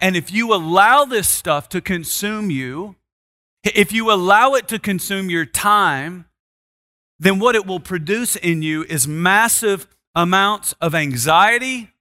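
Recorded very cleanly against a silent background, with a dry, close sound and no echo, a man uses a raised, projected voice, bright and sharp in tone and high in pitch, at a very slow pace. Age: 40s. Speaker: pastor. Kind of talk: sermon.

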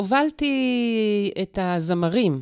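Lively intonation marks this woman's medium-pitched voice. The recording is very clean and dry, close with no echo and a silent background. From Israel, kibbutzim in the Negev. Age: 50s. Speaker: public relations consultant and spiritual coach. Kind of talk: interview conversation.

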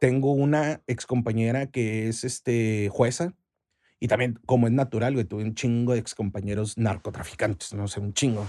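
A man talks at a moderate pace in a dark, mellow tone with ordinary pitch variation. The background is quiet. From Mexico, Chihuahua. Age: 40s. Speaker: sales director. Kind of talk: casual chat.

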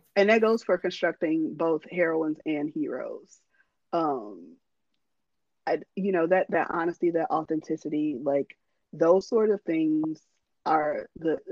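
A woman with a fairly low voice speaks at a fairly slow pace. Long, frequent pauses break up her ordinary pitch variation. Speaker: romance author and podcast host. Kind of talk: casual chat.

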